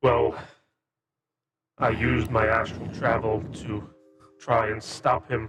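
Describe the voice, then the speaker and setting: Using a put-on character voice, a man with a medium pitch speaks fairly slowly, leaving long, frequent pauses. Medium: actual play.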